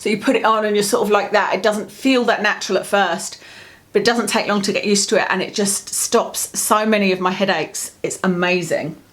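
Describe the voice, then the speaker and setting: A woman with a British accent talks at a fairly quick pace, her medium pitch following a fairly even intonation. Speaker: lifestyle vlogger. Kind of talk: product review vlog. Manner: fast.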